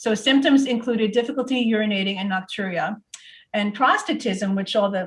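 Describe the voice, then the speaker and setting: A woman with an American accent speaks at a fairly high pitch. Her voice is somewhat breathy. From US Northeast. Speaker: product presenter. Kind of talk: webinar presentation. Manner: fast.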